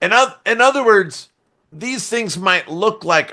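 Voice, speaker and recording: Loud and in a bright, sharp tone, a man speaks at a fairly slow pace against a quiet background. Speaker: software testing expert. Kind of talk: podcast interview. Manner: animated.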